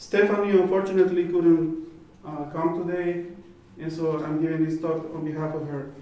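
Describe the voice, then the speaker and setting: A man with a high pitch speaks at a moderate pace in a monotone, flat intonation, with an audible room echo and noticeable background noise. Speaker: plant protection official. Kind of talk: conference presentation. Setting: conference stage with audience. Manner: halting with many fillers.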